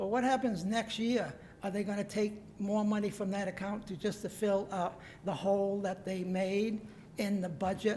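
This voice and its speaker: A woman speaks at a moderate pace in a medium pitch, somewhat breathy, with a dark, mellow tone. Her intonation is monotone and flat. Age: 70s. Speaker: member of the public speaking at council meeting. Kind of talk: public comment. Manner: halting, many fillers.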